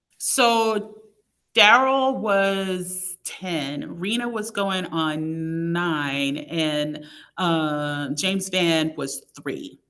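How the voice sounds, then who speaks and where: Speaking at a very slow pace, a woman uses lively intonation in a bright, sharp tone with a fairly low pitch. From Tuscaloosa, Alabama. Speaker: National Park Service superintendent. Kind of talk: interview answer.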